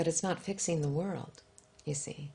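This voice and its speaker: Soft-spoken, a woman talks. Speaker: author and spiritual teacher. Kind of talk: interview answer.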